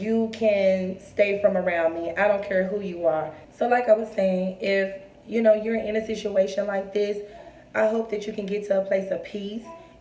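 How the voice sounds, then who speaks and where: A woman's medium-pitched, monotone, flat delivery at a moderate pace, with audible room echo and noticeable background noise. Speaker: vlogger. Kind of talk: personal storytelling to camera. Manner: strained, forcing words out.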